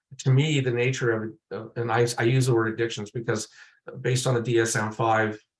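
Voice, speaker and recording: Fairly even in intonation and somewhat breathy, a man talks at a fairly quick pace. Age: 60s. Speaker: lived experience researcher. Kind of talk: panel presentation. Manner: halting, many fillers and repetitions.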